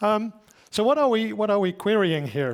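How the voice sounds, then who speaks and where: A man speaks with a Dutch accent. His intonation is lively. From Netherlands. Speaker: solution engineer. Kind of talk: conference talk. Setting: stage with audience. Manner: casual, joking.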